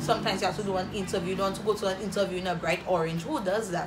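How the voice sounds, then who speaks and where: Noticeable noise sits behind a woman as she talks. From St Lucia. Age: 20s. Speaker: YouTuber. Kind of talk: casual Q&A vlog. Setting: home video recording. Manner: animated. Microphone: phone near.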